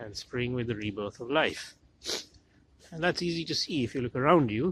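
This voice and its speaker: With a normal speaking voice, a man keeps a moderate speed and uses lively intonation. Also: medium pitch for a man. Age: middle-aged. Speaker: historian, medieval studies professor. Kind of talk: reflective monologue narration.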